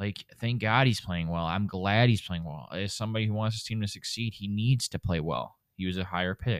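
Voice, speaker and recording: A man with a normal speaking voice talks at a fairly quick pace with hardly any pauses, his pitch fairly low and its variation ordinary. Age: 20s. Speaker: sports betting podcast co-host. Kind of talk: casual chat.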